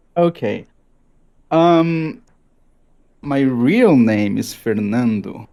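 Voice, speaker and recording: Very slow, with long, frequent pauses, a man speaks at a fairly high pitch. His tone is dark and mellow, and his pitch swings very widely. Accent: Brazilian Portuguese. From Brazil. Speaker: gamer. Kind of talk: casual chat. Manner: halting.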